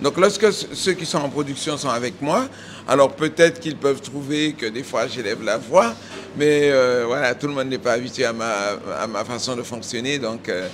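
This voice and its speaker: The voice moves at a moderate pace with ordinary pitch variation. Noticeable background noise can be heard. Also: man, medium pitch for a man. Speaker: cooking teacher and head chef. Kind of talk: casual interview and kitchen instructions. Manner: loud.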